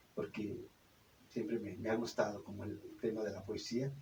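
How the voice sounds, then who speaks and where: This man's somewhat breathy voice has a dark, mellow tone, ordinary pitch variation, and a moderate pace. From Mexico, Zumpango, State of Mexico. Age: 60s. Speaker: puppeteer and storyteller. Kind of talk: radio interview. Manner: halting, many fillers.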